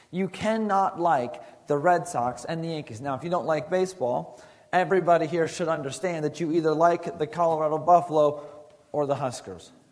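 This man speaks at a fairly quick pace with a fairly high pitch for a man and ordinary pitch variation. Audible room echo surrounds his voice. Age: 30s. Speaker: youth pastor. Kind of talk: sermon. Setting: school chapel with student audience.

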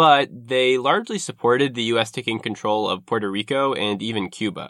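This man talks at a fairly quick pace, his medium-pitched voice showing ordinary pitch variation. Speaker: podcast host and narrator. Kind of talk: history documentary narration, scripted-style. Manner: measured, formal, explanatory storytelling; fluent but occasionally hesitant with filler words.

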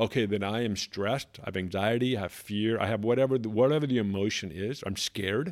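With an American accent, a man speaks at a very fast pace in a fairly low pitch with ordinary pitch variation. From California. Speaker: podcast co-host. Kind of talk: casual chat.

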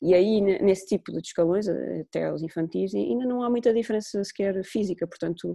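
A woman talks at a fairly quick pace. The sound is dry and close with no echo, and the background is quiet. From Azores, Portugal (São Miguel). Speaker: women's football coach. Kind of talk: podcast interview. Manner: hesitant, frequent repetitions.

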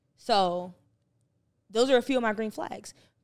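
With an American accent, an ordinary speaking voice moves at a moderate pace with ordinary pitch variation, recorded very cleanly against a silent background. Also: woman. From New Jersey. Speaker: podcast co-host. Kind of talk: casual chat.

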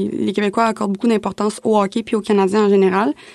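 A woman with an ordinary speaking voice talks at a medium pitch and fairly even intonation, the sound dry and close with no echo. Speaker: student podcast host. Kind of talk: casual chat.

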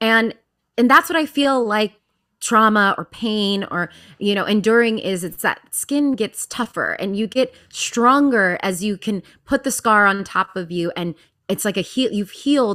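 A woman's fairly high, bright, sharp voice with an American accent, fairly slow pace and ordinary pitch variation, in a very clean recording with a silent background. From US, Virginia (Alexandria, near D.C.). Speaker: Broadway actress and singer. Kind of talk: casual interview.

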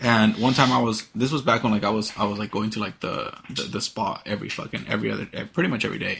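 With vocal fry and a fairly low pitch, a man talks at a very fast pace with hardly any pauses and ordinary pitch variation. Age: 20s. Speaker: podcast host. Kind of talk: casual chat.

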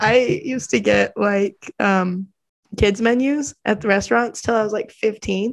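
Fairly high in pitch, this woman has an ordinary speaking voice, with ordinary pitch variation and a fairly slow pace. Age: 20s. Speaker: podcast host. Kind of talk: casual interview chat.

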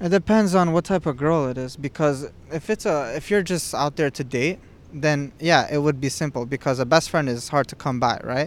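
An ordinary speaking voice, a man with a fairly high pitch and ordinary pitch variation talks at a moderate pace with hardly any pauses on a very clean recording with a silent background. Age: 20s. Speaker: podcast guest. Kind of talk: casual chat.

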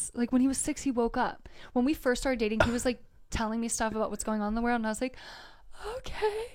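A woman with a high pitch and an American accent, very fast pace and fairly even intonation. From US Delaware. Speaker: spiritual mentor. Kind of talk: casual interview chat.

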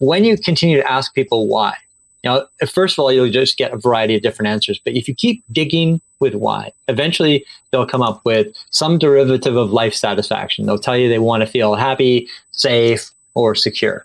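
With an ordinary speaking voice, a man talks at medium pitch with ordinary pitch variation and very even loudness, in a dry, close sound with no echo. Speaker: author. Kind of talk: interview.

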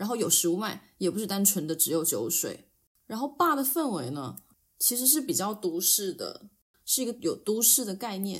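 On a very clean recording with a silent background, a woman at medium pitch speaks at a moderate pace, somewhat breathy, with very wide pitch swings. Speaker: podcast co-host. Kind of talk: casual chat.

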